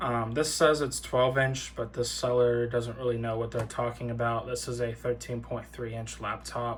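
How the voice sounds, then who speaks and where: Monotone, flat intonation runs at a moderate pace with hardly any pauses over noticeable background noise. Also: man, medium pitch for a man. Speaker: tech YouTuber. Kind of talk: casual product walkthrough. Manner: hesitant, many fillers.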